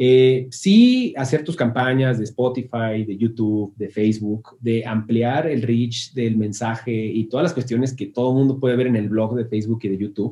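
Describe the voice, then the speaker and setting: Somewhat breathy and dark, mellow in tone, a man with a Mexican accent talks at a moderate pace and a medium pitch. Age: 30s. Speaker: music marketing agency founder. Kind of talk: interview. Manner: casual.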